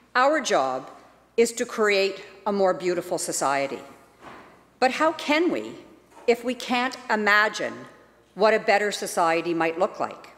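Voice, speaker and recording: Pausing long and often, a woman speaks fairly slowly at a medium pitch, her voice swinging very widely in pitch. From British Columbia, Canada. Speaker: legislator giving a member's statement. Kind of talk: rally speech, a rousing, rhetorical call to imagine a better society. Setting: legislative chamber. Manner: earnest, inspirational, measured and persuasive. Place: hall. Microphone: podium.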